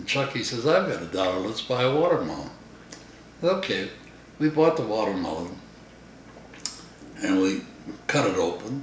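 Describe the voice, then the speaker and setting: With an American accent, a man speaks at medium pitch and a moderate pace, his pitch swinging very widely between long, frequent pauses, over noticeable background noise. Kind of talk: storytelling interview answer.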